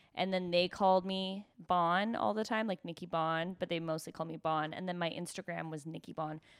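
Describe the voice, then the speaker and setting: With a normal speaking voice, a woman talks at a moderate pace and fairly low pitch, using fairly even intonation and hardly any pauses. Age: 30s. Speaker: stand-up comedian. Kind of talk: casual chat.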